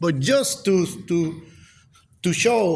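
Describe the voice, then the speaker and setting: A man speaks at a high pitch with lively intonation in a Puerto Rican accent. Audible room echo fills the recording. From Puerto Rico. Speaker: professor. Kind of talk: lecture. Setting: lecture hall with audience. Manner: halting.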